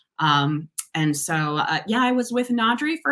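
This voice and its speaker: With lively intonation, a woman's voice comes across with a bright, sharp tone. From Massachusetts, near Boston. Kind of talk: casual interview.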